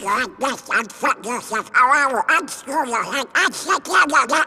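In a cartoonish character voice, a man speaks at an extremely high pitch. His pace is moderate. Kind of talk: military barking.

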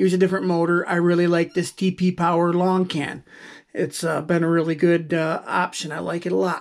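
Nothing stirs in the quiet background. The words come at a moderate pace. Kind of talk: tutorial. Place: workshop.

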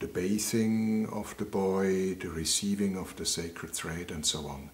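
With ordinary pitch variation, a man speaks at a fairly low pitch. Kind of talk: interview answer. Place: home room.

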